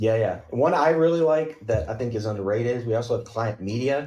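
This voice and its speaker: Speaking in a Southern US accent, a man keeps a medium pitch with ordinary variation. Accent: Southern twang. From Kentucky, US South. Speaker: software company CTO, podcast guest. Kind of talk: casual tech podcast chat.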